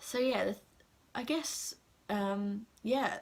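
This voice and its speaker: A woman with an English accent and ordinary pitch variation. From England. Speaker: assistant language teacher in Japan. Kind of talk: casual talk to camera. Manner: hesitant, many fillers.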